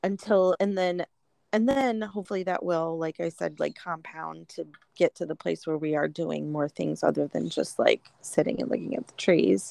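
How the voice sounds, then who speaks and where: A woman's loudness swings widely. The sound is dry and close with no echo against a quiet background. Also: moderate pace. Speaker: podcast co-host. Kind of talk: casual conversation. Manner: playful, uses a special podcast voice.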